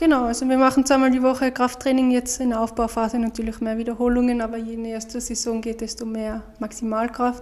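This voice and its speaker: Speaking very fast with hardly any pauses, a woman keeps a high pitch in a flat monotone. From Austria. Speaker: professional speed skater. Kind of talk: casual interview.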